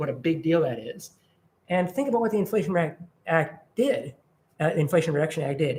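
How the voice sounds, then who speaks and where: A man speaks in a high voice. His pitch varies in an ordinary way. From Minnesota, Minneapolis. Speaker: environmental advocacy director. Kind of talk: presentation with Q&A. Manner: fast; animated.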